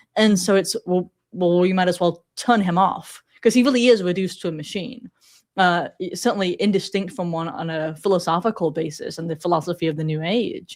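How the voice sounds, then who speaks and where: An American woman speaks at a fairly quick pace and a medium pitch, with ordinary pitch variation. The recording is very clean, with a silent background. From England, Sheffield. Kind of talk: podcast interview.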